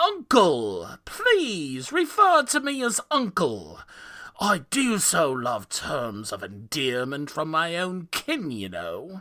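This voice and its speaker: A man uses a put-on character voice, high-pitched and at a very slow pace. The recording is very clean, with a silent background. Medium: read story. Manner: jovial, mocking, condescending.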